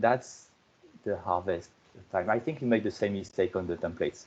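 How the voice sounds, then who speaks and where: With a French accent, a man speaks in very wide pitch swings. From France. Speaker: software project lead giving conference keynote. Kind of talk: conference keynote presentation. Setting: online conference video call. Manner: halting, many repetitions and fillers.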